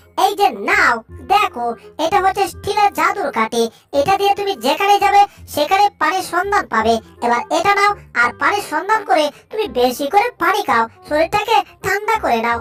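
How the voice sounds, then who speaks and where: A cartoonish character voice, squeaky and extremely high-pitched, at a moderate pace with faint music in the background. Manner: chatty, teasing, rustic.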